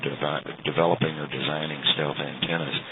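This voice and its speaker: With noticeable background noise behind him, a man talks in a Texan accent. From Texas. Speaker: amateur radio operator. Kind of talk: radio contact conversation. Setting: internet radio link. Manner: halting, many fillers.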